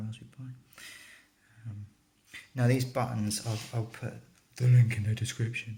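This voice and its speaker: Soft-spoken and somewhat breathy, a man with a British accent talks at a moderate pace and medium pitch, his dark, mellow tone held in flat, monotone intonation. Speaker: retro gaming hobbyist. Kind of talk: casual tutorial talk to camera. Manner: quiet, soft-spoken.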